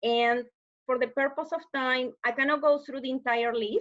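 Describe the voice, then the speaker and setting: Speaking at a moderate pace, a woman with a Spanish accent has a high pitch and ordinary pitch variation against a quiet background. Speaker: webinar presenter on deafblind services. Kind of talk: online presentation. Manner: hesitant with filler sounds.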